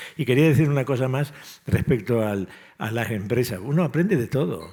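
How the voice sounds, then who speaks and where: A man with a dark, mellow tone talks at medium pitch with ordinary pitch variation. His pace is fairly quick. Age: 70s. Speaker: civil engineering professor. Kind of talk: panel discussion.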